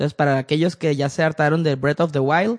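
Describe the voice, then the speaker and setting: A man with a Mexican accent speaks at a fairly high pitch. The sound is dry and close with no echo. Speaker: video game podcast host. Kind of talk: casual chat.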